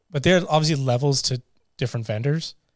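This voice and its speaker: With a Canadian accent, a man speaks at a fairly high pitch. His intonation is fairly even. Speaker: podcast host and DJ. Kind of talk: casual chat.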